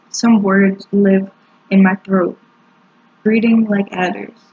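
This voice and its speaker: A woman speaks at a very slow pace in a medium pitch, her somewhat breathy voice dark and mellow in tone, with monotone, flat intonation. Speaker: poet. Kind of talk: poetry reading.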